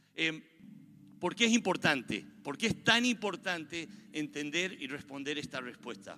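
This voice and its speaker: In a bright, sharp tone, a man speaks fairly slowly at a fairly high pitch, with very wide pitch swings. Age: 50s. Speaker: pastor. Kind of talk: sermon.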